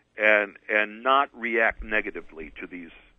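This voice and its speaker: Over a quiet background, a man talks at a fairly slow pace, the sound dry with no echo. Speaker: radio guest. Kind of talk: interview answer.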